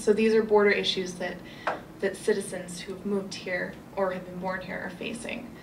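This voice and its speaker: A woman's monotone, flat voice at a moderate pace, with audible room echo and noticeable background noise. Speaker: human rights lawyer. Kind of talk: panel presentation. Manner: loud.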